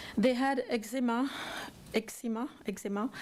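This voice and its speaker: A dark, mellow tone carries a French accent with fairly even intonation. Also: woman. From France. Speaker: parent testifying at public hearing. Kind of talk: public testimony. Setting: legislative committee hearing room. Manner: halting, many fillers.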